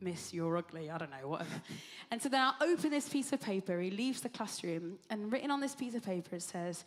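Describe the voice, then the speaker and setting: Speaking very fast at a medium pitch, a woman sounds animated, her voice swinging very widely in pitch. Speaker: ministry leader. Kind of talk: on-stage interview.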